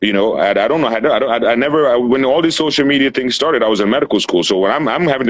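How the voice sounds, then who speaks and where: Very fast speech in an animated tone with lively intonation. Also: man. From Cameroon. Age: 40s. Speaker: medical doctor. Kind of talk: casual interview chat. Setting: Instagram live stream. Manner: animated, repetitive restarts.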